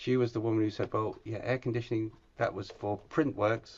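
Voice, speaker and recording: Somewhat breathy delivery, fairly even intonation and a fairly quick pace. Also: man. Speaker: industry speaker. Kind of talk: webinar presentation. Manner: hurried.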